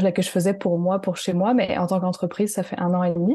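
A woman speaks with a dark, mellow tone. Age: 30s. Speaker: artisan and web designer for entrepreneurs. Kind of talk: interview.

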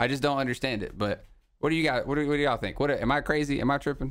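A man's fairly high voice with an American accent, on a very clean recording with a silent background. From US South. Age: 20s. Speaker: podcast host. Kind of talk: casual chat. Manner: animated.

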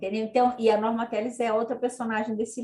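A woman's fairly high, somewhat breathy voice with a dark, mellow tone at a fairly quick pace. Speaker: retired history professor. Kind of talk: interview. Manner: halting, many fillers.

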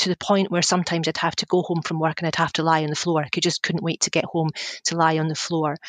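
A woman's fairly low voice with a Scottish accent, dry and close with no echo, over a quiet background. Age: 40s. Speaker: communications consultant. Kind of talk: interview. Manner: halting.

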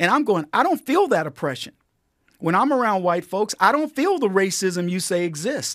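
A man with an American accent speaks in a high, animated voice. His pitch swings very widely. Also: moderate pace. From Texas. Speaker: comedian and political commentator. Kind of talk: casual chat.

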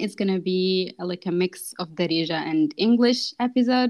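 A woman of medium pitch speaks against a quiet background in an unremarkable speaking voice. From grew up in France, Moroccan roots. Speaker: podcast host. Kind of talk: casual interview chat, Darija-English code-switching.

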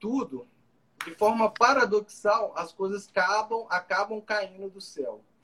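Here a man speaks at a fairly slow pace. His tone is bright and sharp, with lively intonation. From Brazil, Minas Gerais (Juiz de Fora). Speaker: law professor. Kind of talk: casual interview on a live stream. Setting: video live stream.

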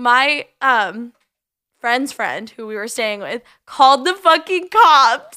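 On a very clean recording with a silent background, a woman uses a raised, projected voice at a high pitch with a bright, sharp tone, speaking at a very slow pace with big swings in loudness. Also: lively intonation. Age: 20s. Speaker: podcast co-host. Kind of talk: casual chat.

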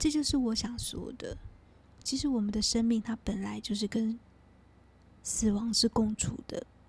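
In a calm tone, the speaker keeps a moderate pace with long, frequent pauses. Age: 40s. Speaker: podcast host, energy healer. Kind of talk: guided meditation; reflective monologue.

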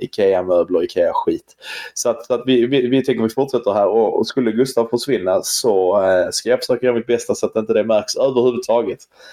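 Very even loudness and a fairly quick pace. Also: man. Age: 30s. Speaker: football podcast host. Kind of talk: casual chat. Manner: halting.

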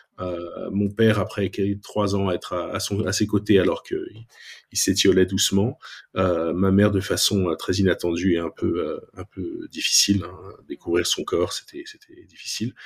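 Talking at a fairly slow pace, a man shows big swings in loudness. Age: 40s. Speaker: software designer and product manager. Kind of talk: testimony. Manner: halting.

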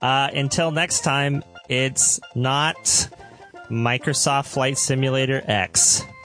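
Over music in the background, a man talks very slowly at a fairly high pitch with ordinary pitch variation. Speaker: podcast host. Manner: casual, jokey.

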